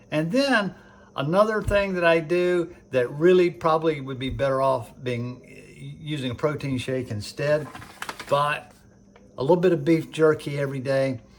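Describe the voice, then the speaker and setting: The speech moves at a moderate pace with ordinary pitch variation, set against noticeable background noise. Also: man, fairly high pitch for a man. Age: 70s. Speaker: CrossFit athlete. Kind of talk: casual talk to camera.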